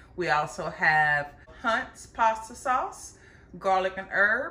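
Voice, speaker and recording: A woman with an American accent speaks very slowly in a warm tone, at medium pitch with lively intonation. Noticeable background noise and audible room echo are present. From US Midwest. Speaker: cooking channel host. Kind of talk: cooking tutorial. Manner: warm, chatty.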